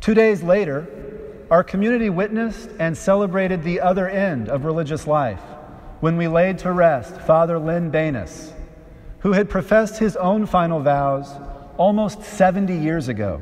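The man's voice sits at a high pitch. It varies in an ordinary way. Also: moderate pace. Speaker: preacher. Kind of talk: sermon. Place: church.

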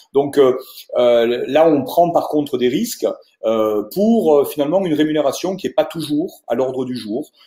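A man's fairly high-pitched voice with a dark, mellow tone, at a fairly slow pace, with audible room echo over a quiet background. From Toulouse, southern France; southern France. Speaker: wealth management adviser; presenter. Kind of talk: webinar presentation. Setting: video conference webinar. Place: office. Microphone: earbuds.

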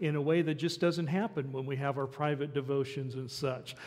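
A man is talking. His intonation is fairly even. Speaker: pastor. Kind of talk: church announcements and welcome. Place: church.

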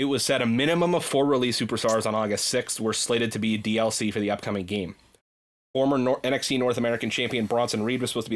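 At a very fast pace, a man speaks with very even loudness and ordinary pitch variation. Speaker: podcast host. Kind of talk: casual chat. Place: home room. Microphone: studio mic.

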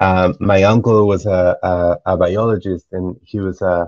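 Speaking at a fairly slow pace, a man uses a low pitch with little pitch movement and a slightly mellow tone.

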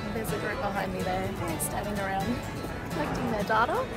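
A woman's voice over loud music in the background. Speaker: geography educator running a workshop. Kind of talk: casual vlog chat. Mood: cheerful, upbeat. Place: station. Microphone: phone near.

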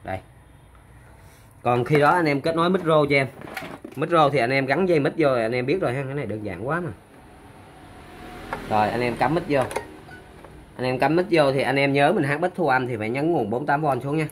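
A man talks at a fairly quick pace with medium pitch and ordinary pitch variation. He leaves long, frequent pauses.

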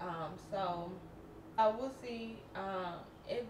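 A woman speaks over noticeable background noise. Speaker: lifestyle vlogger. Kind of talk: casual vlog chat. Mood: relaxed, mildly frustrated. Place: kitchen. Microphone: camera far.

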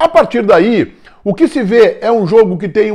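Against a quiet background, a man with a dark, mellow tone speaks at a fairly slow pace with very wide pitch swings. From southern Brazil (Rio Grande do Sul). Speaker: football commentator. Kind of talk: sports commentary monologue. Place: home room. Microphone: lapel.

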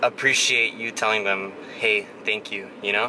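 A man is heard speaking over noticeable background noise. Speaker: vlogger. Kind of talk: casual vlog chat. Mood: calm, reflective, motivational. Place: car. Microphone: phone near.

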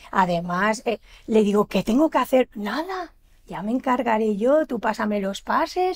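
A woman with a fairly high voice talks at a fairly slow pace, her pitch swinging very widely. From Valencian Community (Almassora, Castellón); Valencian Community. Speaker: shop owner and event organizer; guest. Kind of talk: TV interview. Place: studio.

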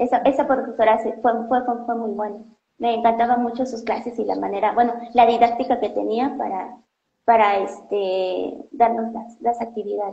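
A woman with a Mexican accent speaks at a moderate pace, her pitch fairly high and her tone dark and mellow. Her intonation stays monotone and flat, and there is audible room echo. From Mexico. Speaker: doctoral student in biology; interviewee. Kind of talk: interview. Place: home room. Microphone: earbuds.

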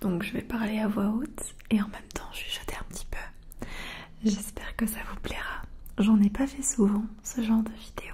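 Someone whispers softly at a fairly slow pace over light background noise. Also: woman. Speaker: ASMR creator. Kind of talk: casual soft-spoken Q&A chat. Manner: soft-spoken, half-whispered ASMR voice. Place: home room. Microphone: studio mic.

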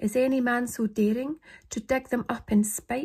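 Somewhat breathy and in a Scottish accent, this voice moves at a fairly slow pace with ordinary pitch variation against a quiet background. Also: woman. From Scotland. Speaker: poetry reader. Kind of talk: poetry reading. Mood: calm, slightly eerie. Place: home room. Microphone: phone near.

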